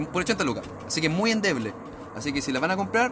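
A man with a Chilean accent speaks very fast in a high voice with lively intonation, over noticeable background noise. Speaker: podcast host. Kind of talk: casual chat. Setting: at home.

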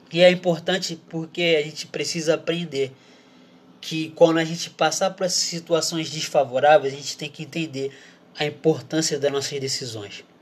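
A man with an ordinary speaking voice, pitched fairly high, talks at a moderate pace with fairly even intonation. His loudness swings widely against a quiet background. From Brazil. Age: 20s. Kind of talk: casual sermon.

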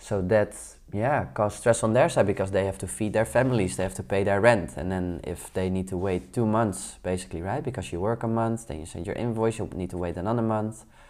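A man in a Dutch accent, fairly low in pitch with ordinary pitch variation, talks at a fairly quick pace with hardly any pauses on a very clean recording with a silent background. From Netherlands. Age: 30s. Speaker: podcast host, entrepreneur. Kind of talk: solo podcast monologue.

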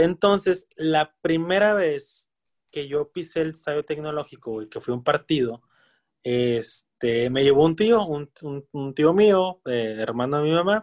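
A man with an unremarkable speaking voice and a fairly high pitch talks at a fairly slow pace with lively intonation. The sound is dry and close with no echo. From Monterrey, Mexico. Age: 30s. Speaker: football podcast co-host. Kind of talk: casual chat.

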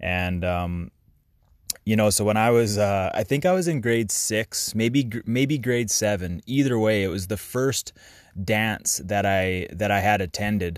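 Fairly low male voice, fairly slow in pace, with ordinary pitch variation. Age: 30s. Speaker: podcaster. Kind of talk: casual monologue. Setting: in a van. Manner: halting, many fillers.

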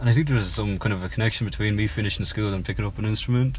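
A man talks with a Cork accent. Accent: Irish (Cork). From Ireland (Cork). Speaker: singer-songwriter. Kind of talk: interview. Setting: in a parked car. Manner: hesitant, many fillers.

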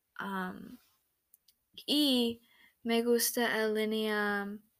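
Recorded very cleanly over a silent background, a woman with an American accent speaks at a medium pitch with ordinary pitch variation. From United States. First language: English (speaking Spanish). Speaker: language student. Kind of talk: student presentation. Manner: halting.

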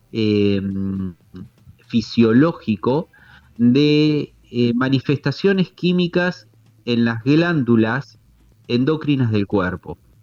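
A man's medium-pitched voice at a very slow pace, dry and close with no echo. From Tandil, Argentina. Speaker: holistic therapist. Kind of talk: explanatory interview.

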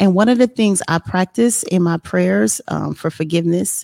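With an American accent, a woman speaks at a moderate pace in a dark, mellow tone, her pitch swinging very widely in a dry, close sound with no echo. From New Jersey, Trenton. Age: 40s. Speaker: motivational speaker and author. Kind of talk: casual interview.

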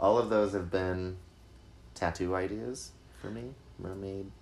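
Speaking in an American accent, a man uses a very deep, low pitch with ordinary pitch variation. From Utah. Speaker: guest musician. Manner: joking.

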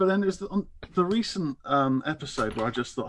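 A man moves at a fairly quick pace, using an ordinary speaking voice and lively intonation. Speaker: caller and listener. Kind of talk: casual chat. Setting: video call or phone call.

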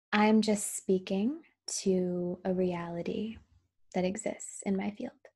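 A woman speaks very slowly at medium pitch, with ordinary pitch variation. Her voice is somewhat breathy and has a dark, mellow tone. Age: 30s. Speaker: podcaster. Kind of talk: personal monologue.

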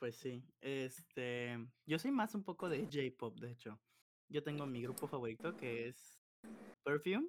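A woman's very deep, low voice at a fairly slow pace, lively intonation, long, frequent pauses. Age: 20s. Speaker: podcast host. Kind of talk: casual chat.

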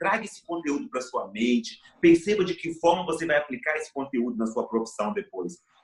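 With very wide pitch swings, a man with a fairly high pitch talks at a fairly quick pace. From Brazil, interior of Espírito Santo (mountain region). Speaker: education professor and motivational speaker. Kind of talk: interview from home. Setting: remote from home.

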